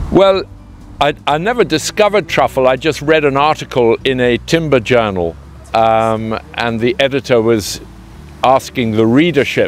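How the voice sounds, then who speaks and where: A man talks at medium pitch and a moderate pace. His intonation is lively. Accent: southern English. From southern England (Hertfordshire). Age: 60s. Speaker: truffle grower, company co-founder. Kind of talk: interview. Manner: hesitant, many fillers.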